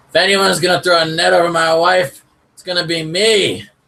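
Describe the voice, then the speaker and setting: In a put-on character voice, a man growls at a fairly quick pace with a high pitch. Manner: growling.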